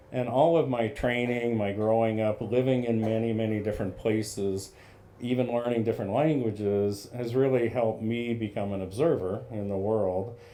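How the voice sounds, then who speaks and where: Audible room echo surrounds a man with an American accent whose dark, mellow voice sits at medium pitch with fairly even intonation. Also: moderate pace. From central US, partly raised abroad. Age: 60s. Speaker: leadership coach. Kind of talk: interview.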